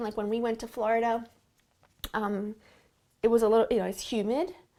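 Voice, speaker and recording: A fairly high-pitched female voice, very cleanly recorded against complete background silence. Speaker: beauty vlogger. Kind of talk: makeup tutorial. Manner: soft-spoken; casual chatty.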